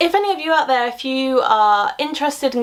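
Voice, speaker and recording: This woman speaks with a British accent. Her pace is fairly quick and her intonation lively. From London area, England. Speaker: science communicator YouTuber. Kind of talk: casual Q&A vlog. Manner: animated.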